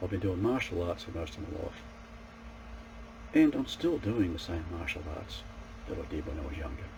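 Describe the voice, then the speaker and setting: A man talks at a moderate pace with a very deep, low pitch and lively intonation, leaving long, frequent pauses. There is audible room echo and noticeable background noise. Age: 60s. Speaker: martial arts practitioner and self-improvement vlogger. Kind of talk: casual monologue to camera. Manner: halting, with repeated false starts.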